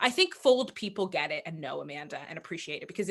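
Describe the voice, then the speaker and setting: A loud woman's voice with an animated tone. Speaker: author and literary festival founder. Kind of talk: panel discussion.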